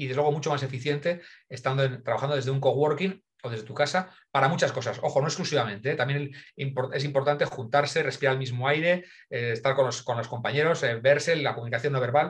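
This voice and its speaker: A man talks very fast at a fairly high pitch. His voice is somewhat breathy. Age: 50s. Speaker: innovation consultant. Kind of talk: interview. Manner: animated.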